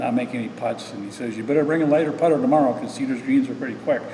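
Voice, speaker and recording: A man's fairly even delivery, with audible room echo and noticeable background noise. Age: 60s. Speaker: amateur golfer. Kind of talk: interview. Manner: halting.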